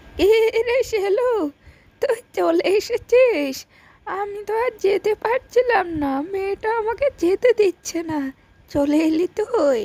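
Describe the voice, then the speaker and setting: A woman performs a cartoonish character voice at an extremely high pitch. She speaks at a fairly slow pace. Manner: warm, motherly.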